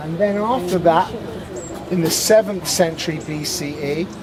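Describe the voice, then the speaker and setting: A man's voice with fairly even intonation, audible room echo, and noticeable background noise. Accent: British. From Britain. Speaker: tour guide. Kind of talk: guided tour talk. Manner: loud.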